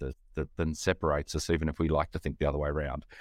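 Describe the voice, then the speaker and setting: A man talking very fast with an Australian accent, in a dry, close recording with no echo and a very clean, silent background. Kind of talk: casual interview conversation.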